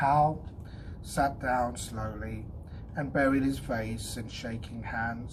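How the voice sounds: The speaker reads. It is a natural reading voice.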